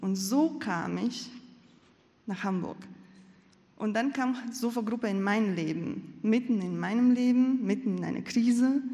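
Slightly breathy and dark, mellow in tone, a woman speaks at a fairly slow pace with ordinary pitch variation amid audible room echo. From Latvia. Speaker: church member. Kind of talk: testimony.

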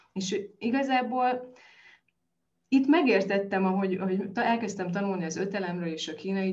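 An ordinary speaking voice from a woman, with ordinary pitch variation at a moderate pace. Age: 40s. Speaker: nutrition expert. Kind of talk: interview.

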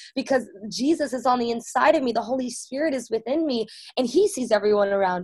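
A woman speaks very fast in an animated, high voice with ordinary pitch variation. Her loudness swings widely. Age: 20s. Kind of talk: faith testimony interview.

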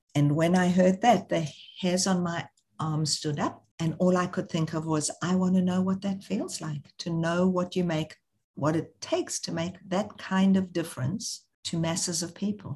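Speaking at a moderate pace, a woman has a dark, mellow tone and a somewhat breathy voice. Her intonation stays fairly even. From South Africa. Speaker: social entrepreneur, charity founder. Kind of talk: interview.

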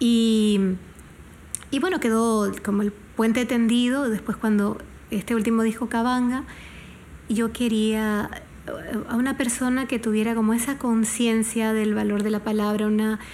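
A woman talks at a fairly slow pace, with long, frequent pauses and fairly high pitch. Her intonation stays monotone and flat, and her loudness is very even. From Panama. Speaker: singer-songwriter. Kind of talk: interview. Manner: halting.

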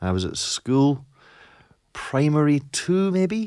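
A man speaks in an Edinburgh accent on a very clean recording with a silent background. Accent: Scottish (Edinburgh). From Scotland, East Lothian / Edinburgh. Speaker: teacher trainer and author. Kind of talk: casual interview chat.

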